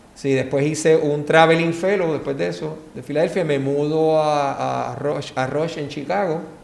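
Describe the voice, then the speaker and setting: A man speaks at a fairly slow pace and a fairly high pitch, with hardly any pauses. Audible room echo and noticeable background noise surround his voice. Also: fairly even intonation. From Puerto Rico, San Juan. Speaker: orthopedic surgeon, former gymnast. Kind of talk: casual interview.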